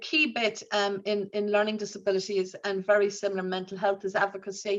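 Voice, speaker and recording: Someone with an Irish accent speaks at a fairly quick pace in a monotone, flat intonation. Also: woman, medium pitch for a woman. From Ireland. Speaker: nurse leader. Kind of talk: conference talk. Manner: halting, many fillers.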